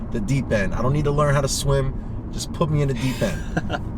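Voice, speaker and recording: Amid noticeable background noise and audible room echo, a man speaks at a moderate pace and medium pitch in an animated tone. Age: 30s. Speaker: car enthusiast youtuber. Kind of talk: casual chat. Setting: in a car.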